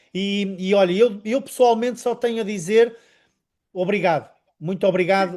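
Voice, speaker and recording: A man speaks in a high voice with ordinary pitch variation. His pace is moderate. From northern Portugal, Vila Nova de Gaia. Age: 50s. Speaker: network marketing presenter. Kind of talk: sales presentation interview.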